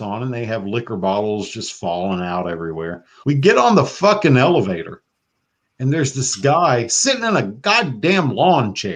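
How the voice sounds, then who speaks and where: A man with a Southern US accent at a moderate pace, very wide pitch swings, and a quiet background. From US South (Florida). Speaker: podcast host. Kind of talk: casual chat. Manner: animated.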